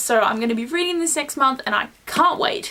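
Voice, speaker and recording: A woman's high voice with lively intonation over noticeable background noise. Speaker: book vlogger. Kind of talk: casual vlog. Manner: fast; animated.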